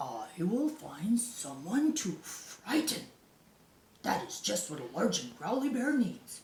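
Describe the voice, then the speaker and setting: This put-on character voice goes at a fairly slow pace, swinging very widely in pitch, with a slight echo. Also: woman, fairly high pitch for a woman. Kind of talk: bedtime story. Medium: read story. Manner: gruff, blustering.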